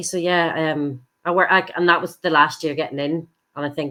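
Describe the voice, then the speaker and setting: A woman's very deep, low voice in a Northern Irish accent, at a fairly quick pace, in a very clean recording with a silent background. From Northern Ireland. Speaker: stage actress. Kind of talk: podcast interview answer. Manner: enthusiastic.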